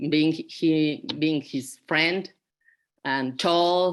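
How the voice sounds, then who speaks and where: On a very clean recording with a silent background, a woman with a Spanish accent speaks at a very slow pace in a very deep, low pitch with ordinary pitch variation. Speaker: retreat participant. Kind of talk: casual group sharing. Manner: halting.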